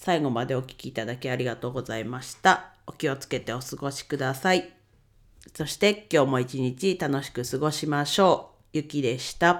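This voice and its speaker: On a very clean recording with a silent background, a man with a fairly high pitch speaks at a moderate pace, with ordinary pitch variation and big swings in loudness. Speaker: podcaster, bookkeeping YouTuber. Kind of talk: casual solo talk.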